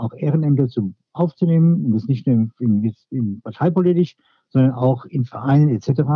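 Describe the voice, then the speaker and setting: Using an ordinary speaking voice, a man talks at medium pitch with ordinary pitch variation. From Hesse, Germany (Hofheim-Marxheim). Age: 60s. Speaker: local politician. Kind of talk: interview. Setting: podcast recording.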